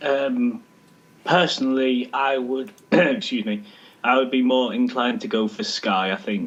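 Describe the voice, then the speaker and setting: A man's medium-pitched voice with an English accent. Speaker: head of social media on a football chat show. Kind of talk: casual chat. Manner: monotone.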